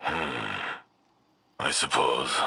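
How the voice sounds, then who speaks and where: The voice is raspy. It belongs to a man doing a put-on character voice. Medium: video game. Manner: solemn, earnest.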